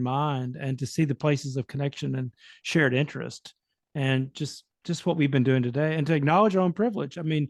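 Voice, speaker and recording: With a normal speaking voice, a man talks at a fairly quick pace and a fairly high pitch, his pitch varying in an ordinary way, in a dry, close recording with no echo and a quiet background. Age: 60s. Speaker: panelist, psychedelic study participant. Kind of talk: panel discussion.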